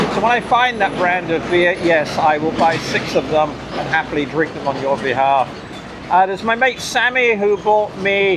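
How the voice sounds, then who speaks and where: Noticeable background noise sits behind a man's voice. He has a high pitch and ordinary pitch variation. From UK. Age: 60s. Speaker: cycling vlogger. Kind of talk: casual vlog. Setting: outdoors by a roadside.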